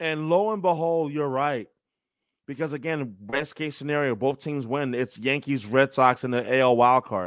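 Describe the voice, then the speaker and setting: A man with an American accent has a normal speaking voice, a fairly high pitch and ordinary pitch variation. He speaks at a moderate pace in a very clean recording with a silent background. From New York. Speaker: sports play-by-play announcer. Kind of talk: casual chat.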